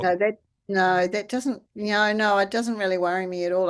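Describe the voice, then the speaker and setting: A woman's medium-pitched voice at a moderate pace over a quiet background. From New Zealand. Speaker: charity founder. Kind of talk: interview answer.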